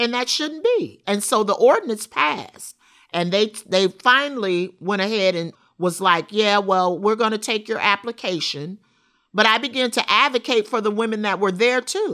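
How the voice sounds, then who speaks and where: On a very clean recording with a silent background, a woman with an American accent speaks at a moderate pace in a fairly high, bright, sharp voice. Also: ordinary pitch variation. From Rockford, Illinois. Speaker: formerly incarcerated advocate. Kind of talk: interview testimony.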